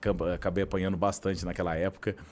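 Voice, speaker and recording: A man talks at a fairly quick pace in a Minas Gerais accent. The recording is very clean, with a silent background. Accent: Minas Gerais (mineiro). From southern Minas Gerais, Brazil (Varginha). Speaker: journalist and agency founder. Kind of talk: podcast interview.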